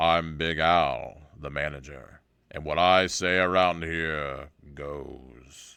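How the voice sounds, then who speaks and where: A man puts on a booming character voice with a very deep, low pitch. He goes very slowly, and his loudness swings widely. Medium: read story. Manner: commanding.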